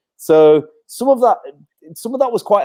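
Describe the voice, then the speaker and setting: A man talks at a fairly quick pace in a dark, mellow tone with lively intonation. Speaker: music venue manager. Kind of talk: casual panel discussion.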